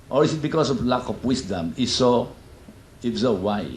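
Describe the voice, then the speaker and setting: Talking at a fairly quick pace, a man with a medium pitch uses lively intonation, and audible room echo surrounds his voice. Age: 60s. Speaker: doctor. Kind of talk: lecture.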